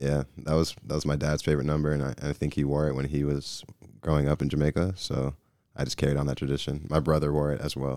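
In an American accent, a man with a very deep, low pitch and a dark, mellow tone talks very fast in a monotone, flat delivery. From US South, Georgia (Gwinnett County). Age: 20s. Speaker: professional soccer goalkeeper. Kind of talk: casual chat. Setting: studio.

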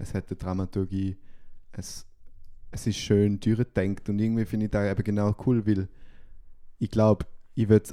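Speaking at a moderate pace, a man delivers monotone, flat intonation in a fairly low pitch with a dark, mellow tone. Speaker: podcast co-host. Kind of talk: casual chat.

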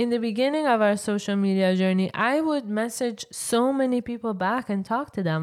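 With a strong non-native accent, a woman speaks at a moderate pace in a fairly high pitch, with ordinary pitch variation and hardly any pauses. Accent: thick non-native English. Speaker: podcast co-host, English teacher. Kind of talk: casual chat. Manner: laughs often, lively.

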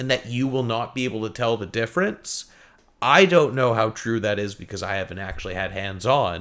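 Delivered in a normal speaking voice at a fairly quick pace, the speech has ordinary pitch variation on a very clean recording with a silent background. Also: man, medium pitch for a man. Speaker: gaming podcast co-host. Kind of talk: casual chat.

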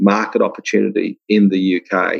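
This man speaks with an Australian accent. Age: 60s. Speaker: software company founder. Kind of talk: interview.

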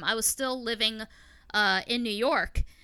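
A woman's raised, projected voice carries a bright, sharp tone on a very clean recording with a silent background. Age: 30s. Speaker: podcaster and YouTuber. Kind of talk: casual chat.

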